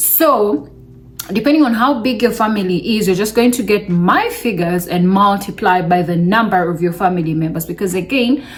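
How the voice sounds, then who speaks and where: Noticeable background noise behind a woman's moderately paced delivery, medium in pitch and lively in intonation. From Uganda. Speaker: vlogger. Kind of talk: casual vlog talk to camera.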